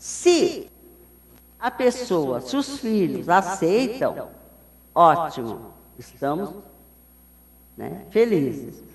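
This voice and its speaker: A woman speaks at a very slow pace, with long, frequent pauses and vocal fry at a medium pitch. Her pitch swings very widely, and the room echo is audible. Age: 70s. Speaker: spiritist lecturer. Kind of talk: lecture.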